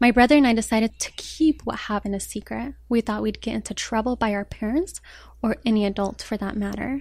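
The somewhat breathy voice moves at a fairly quick pace with fairly even intonation. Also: woman, fairly high pitch for a woman. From Colorado, US (born in Morocco). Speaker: blogger and anti-bullying advocate. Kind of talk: interview, personal story.

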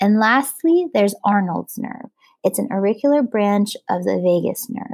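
Using an ordinary speaking voice, a woman speaks at a moderate pace with medium pitch and ordinary pitch variation. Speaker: plastic surgery resident doctor. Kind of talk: educational exam review. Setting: podcast studio.

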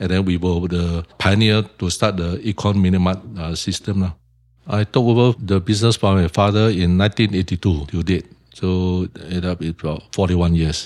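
At a moderate pace, a man with a Singaporean accent speaks with a very deep, low pitch and fairly even intonation. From Singapore, Tiong Bahru. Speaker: shop owner. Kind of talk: interview.

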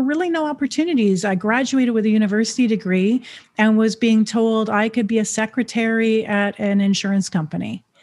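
A woman talks at a moderate pace with an unremarkable speaking voice. Her pitch is fairly high, with ordinary variation, and the background is quiet. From Canada. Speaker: entrepreneur. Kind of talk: interview.

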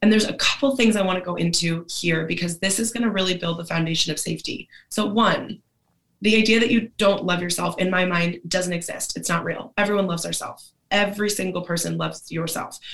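A woman's medium-pitched voice with vocal fry, fairly even intonation and a very fast pace. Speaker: mindset coach. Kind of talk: casual chat. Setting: video call.

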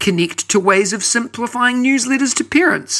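A man with a New Zealand accent speaks at a moderate pace in a raised, projected voice with a bright, sharp tone. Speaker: podcast host. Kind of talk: podcast hosting, scripted intro and interview.

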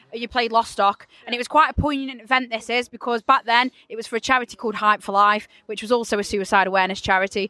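A woman with an ordinary speaking voice talks in a fairly high pitch with fairly even intonation, in a dry, close sound with no echo. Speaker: podcast interviewer. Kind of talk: casual interview. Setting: outdoors in the rain at a festival.

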